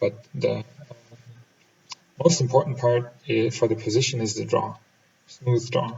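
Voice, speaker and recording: In a German accent, a man speaks at a fairly slow pace. His pitch is medium, with ordinary pitch variation. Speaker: pool player and instructor. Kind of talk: voiceover commentary. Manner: halting.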